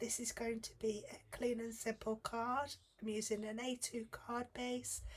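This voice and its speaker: A woman with a British accent, high-pitched, over noticeable background noise. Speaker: guest card-making designer. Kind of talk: tutorial.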